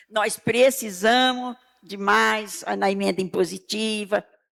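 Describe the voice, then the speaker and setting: Speaking at a very slow pace, a woman swings her pitch very widely on a very clean recording with a silent background. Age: 80s+. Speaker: senior citizen, municipal health council member. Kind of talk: public hearing speech. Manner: emphatic, repetitive.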